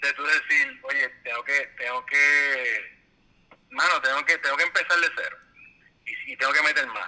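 With a Puerto Rican accent, a man speaks at a moderate pace. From Puerto Rico. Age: 40s. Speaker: civil engineer. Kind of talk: casual interview. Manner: halting, many repetitions.

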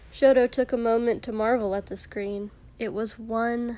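In a natural reading voice, the intonation stays fairly even.

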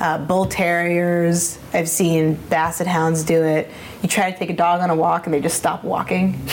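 A woman's fairly low voice, flat and monotone, over noticeable background noise. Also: moderate pace. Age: 30s. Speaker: animal photographer. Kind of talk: casual chat.

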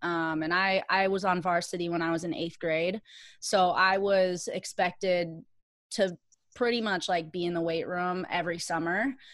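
A woman with an American accent has a fairly low pitch and an ordinary speaking voice. The recording is very clean, with a silent background. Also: fairly even intonation, moderate pace. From Minnesota, Richfield. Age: 30s. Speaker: competitive weightlifter. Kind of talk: interview.

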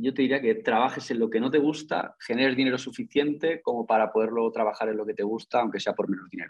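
Speaking in a normal speaking voice, a man uses lively intonation at medium pitch and a fairly quick pace. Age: 20s. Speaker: investor and entrepreneur. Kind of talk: interview.

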